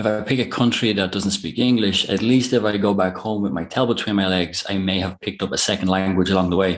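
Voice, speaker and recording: Fairly quick speech from a man with an Irish accent, with hardly any pauses and fairly even intonation. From Ireland. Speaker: online business owner. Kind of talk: interview. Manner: hesitant, many fillers.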